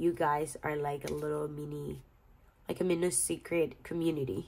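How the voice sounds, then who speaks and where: In a Spanish accent, a woman with a very deep, low pitch speaks at a moderate pace. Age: 30s. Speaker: budgeting vlogger. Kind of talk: casual vlog tutorial. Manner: halting, repeats words.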